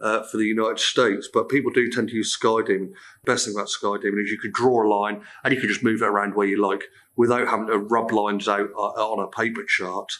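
Light background noise sits behind a man talking at a very fast pace. His voice is fairly low in pitch, bright and sharp in tone, with monotone, flat intonation. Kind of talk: tutorial. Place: classroom.

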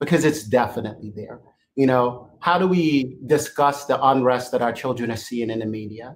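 A somewhat breathy man at a moderate pace, with ordinary pitch variation. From Jamaica. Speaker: webinar moderator, software operations director; webinar panelist. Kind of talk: panel discussion webinar. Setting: video call webinar. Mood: earnest, thoughtful. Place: home room.

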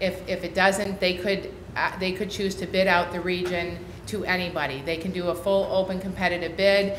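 Monotone, flat delivery amid audible room echo and noticeable background noise. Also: woman. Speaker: county mental health agency director presenting. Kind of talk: presentation to county board. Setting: county board meeting room. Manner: fast; hesitant, many fillers.

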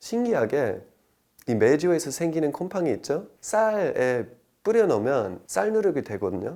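Here a man with an English accent has a dark, mellow tone and a fairly high pitch. His pitch swings very widely at a fairly slow pace. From United States. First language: English (speaking Korean). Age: 30s. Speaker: traditional liquor sommelier. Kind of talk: interview.

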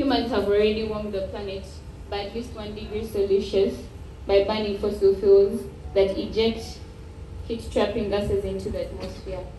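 A woman talks at a moderate pace with big swings in loudness. Light background noise and audible room echo fill the recording. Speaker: speaker. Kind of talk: formal speech. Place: hall.

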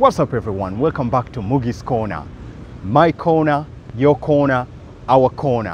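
A man at a moderate pace, with ordinary pitch variation, light background noise and a dry sound with no echo. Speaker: travel vlogger. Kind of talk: casual vlog chat. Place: street. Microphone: lapel.

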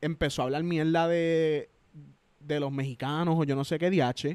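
A man speaks at a fairly high pitch and a moderate pace. The background is quiet and the sound is dry, with no echo. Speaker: YouTuber and army veteran; podcast guest. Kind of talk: casual chat. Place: home room. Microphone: handheld.

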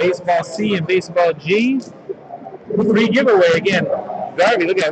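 Loud and high-pitched, a man talks at a fairly quick pace with ordinary pitch variation, long and frequent pauses, and noticeable background noise. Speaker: sports card case breaker. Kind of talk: live-streamed card break commentary. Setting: trade show convention floor.

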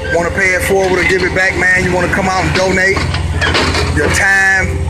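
Loud background noise sits behind a man's voice. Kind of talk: casual appeal for volunteers. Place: street. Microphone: phone near.

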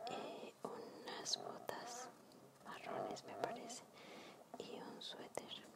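A woman whispering at a very slow pace amid noticeable background noise. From Mexico. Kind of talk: ASMR sketchbook tour. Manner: whispered.

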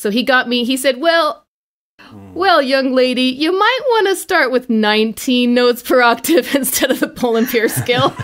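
A woman speaks in an animated tone with a high pitch. Her pace is moderate and her pitch varies in an ordinary way. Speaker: microtonal musician. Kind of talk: casual chat. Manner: animated, laughs often.

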